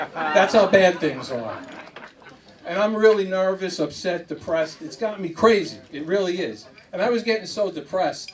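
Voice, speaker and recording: Over noticeable background noise, a man with a New York accent speaks at a high pitch with ordinary pitch variation. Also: moderate pace. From New York (Queens, near Nassau County). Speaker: stand-up comedian. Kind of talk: stand-up.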